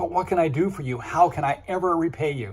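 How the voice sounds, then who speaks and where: In a put-on character voice, a man talks at a very fast pace with a high pitch, ordinary pitch variation and a hoarse, raspy, wheezy sound. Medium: read story.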